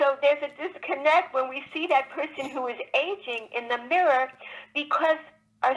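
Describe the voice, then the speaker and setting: A woman's high voice with ordinary pitch variation. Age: 60s. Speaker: children's book author. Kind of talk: interview. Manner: halting.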